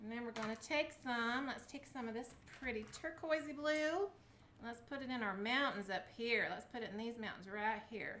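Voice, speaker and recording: Woman with a Southern US accent, high pitch, a bright, sharp tone, ordinary pitch variation and a moderate pace. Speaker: craft video host. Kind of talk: casual craft tutorial to camera. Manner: chatty, upbeat.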